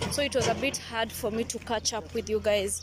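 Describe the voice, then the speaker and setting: A woman speaks at a fairly quick pace. The sound is dry with no echo, but background noise is noticeable. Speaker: travel vlogger. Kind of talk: casual vlog chat. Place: street. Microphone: phone near.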